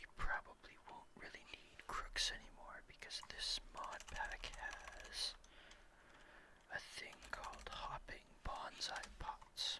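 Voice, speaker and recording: Relaxed whispering at a very slow pace against noticeable background noise. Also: man. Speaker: ASMR gaming content creator. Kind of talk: ASMR gameplay ramble. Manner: soft-spoken, relaxed, rambling.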